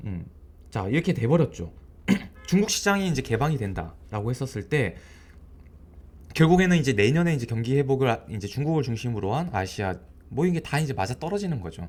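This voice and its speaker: Very wide pitch swings run through this man's somewhat breathy, medium-pitched voice as he goes at a fairly quick pace with long, frequent pauses. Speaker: stock market commentator. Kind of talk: market commentary video. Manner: casual, filler-heavy.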